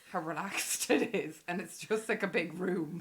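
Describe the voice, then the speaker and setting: With a Cork accent, a woman talks at a moderate pace and with ordinary pitch variation. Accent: Irish (Cork). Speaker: podcast co-host. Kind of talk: casual chat. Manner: animated.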